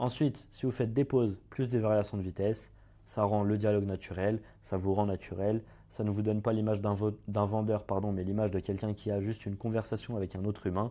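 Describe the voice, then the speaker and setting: Over a quiet background, a man talks fairly quickly with a fairly low pitch, a dark, mellow tone and monotone, flat intonation. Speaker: sales closing coach. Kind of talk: tutorial. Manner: fast.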